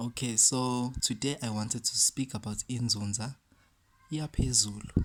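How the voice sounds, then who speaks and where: The speaker has a South African accent. The pace is moderate. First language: isiZulu. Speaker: spiritual teacher. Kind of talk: talk to camera. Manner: code-switching between English and isiZulu.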